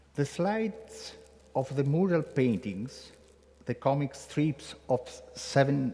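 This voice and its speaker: An Italian-accented man speaks at a very slow pace in a fairly high pitch, with vocal fry and very wide pitch swings. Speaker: conference speaker. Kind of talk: welcome speech read aloud. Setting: conference room in a basilica. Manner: halting, reading from text.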